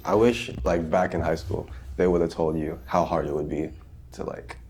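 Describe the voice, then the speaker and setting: A man with a very deep, low voice talks at a fairly quick pace in a Californian accent. Room echo is audible and background noise is noticeable. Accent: Californian American English. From Southern California. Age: 20s. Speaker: podcast co-host. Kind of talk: casual chat.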